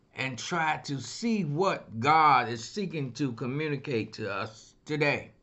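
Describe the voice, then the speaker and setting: His pitch varies in an ordinary way. The man talks very slowly. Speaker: pastor. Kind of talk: sermon. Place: office. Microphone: webcam.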